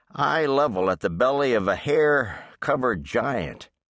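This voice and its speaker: Against a quiet background, a man speaks at a medium pitch. He has a normal speaking voice. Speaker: audiobook narrator. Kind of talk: dramatic audiobook narration for kids, reading aloud. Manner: suspenseful, hushed storyteller pacing that builds tension.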